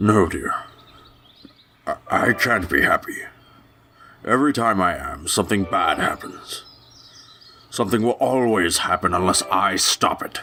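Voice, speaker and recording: In a put-on character voice, a man speaks at medium pitch and a moderate pace. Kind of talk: dramatic reading. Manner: sorrowful, pleading.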